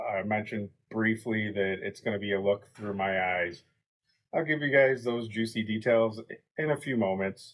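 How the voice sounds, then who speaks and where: This man's voice sits fairly low in pitch. His pitch varies in an ordinary way. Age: 30s. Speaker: podcast co-host. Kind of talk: casual vlog monologue. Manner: slow; halting, with fillers.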